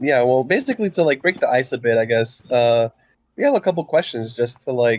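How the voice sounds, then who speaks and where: A man's fairly quick, medium-pitched speech with ordinary pitch variation against a quiet background. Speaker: podcast co-host. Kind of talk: casual chat. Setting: recording in a room at home, someone asleep. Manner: halting, repeats words; softer than usual, quiet.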